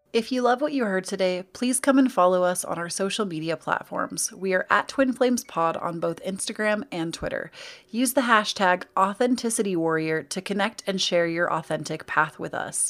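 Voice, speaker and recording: In a very clean recording with a silent background, a woman with an American accent talks at a moderate pace with hardly any pauses. She has an unremarkable speaking voice at medium pitch, with lively intonation. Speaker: podcast co-host. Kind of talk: casual chat.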